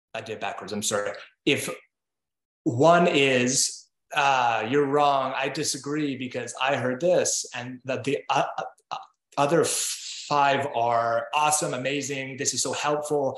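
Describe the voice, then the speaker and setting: A man talks fairly slowly in a normal speaking voice, his pitch fairly high and his intonation fairly even. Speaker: writer and digital creator. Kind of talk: podcast interview. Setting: video call.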